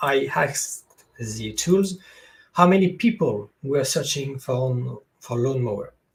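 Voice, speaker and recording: Speaking with a French accent, a man uses lively intonation at a fairly high pitch and a fairly slow pace, sounding somewhat breathy. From France. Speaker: SEO consultant. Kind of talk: webinar presentation. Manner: halting, many fillers. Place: home room.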